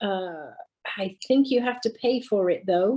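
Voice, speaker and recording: A woman speaks in a dark, mellow tone at a fairly slow pace. Her pitch shows ordinary variation. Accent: British. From Britain. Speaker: university English teacher. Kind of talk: Q&A session. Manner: hesitant with fillers.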